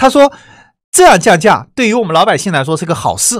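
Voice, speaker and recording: A very fast delivery with a Wuhan accent, in a very clean recording against a silent background. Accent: Wuhan accent, noticeable. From China, Wuhan. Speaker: online course teacher. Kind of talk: lecture. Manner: conversational, many filler sounds.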